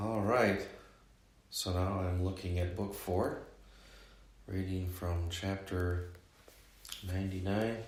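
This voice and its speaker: A soft-spoken man with a very deep, low pitch, monotone, flat intonation and a very slow pace, long, frequent pauses, and audible room echo. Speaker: religious reader and commentator. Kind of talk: casual commentary. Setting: home at night.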